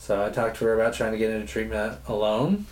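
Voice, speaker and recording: A man's fairly low-pitched voice at a moderate pace, with audible room echo. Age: young. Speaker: nonprofit director. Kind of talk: interview. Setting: on location interview.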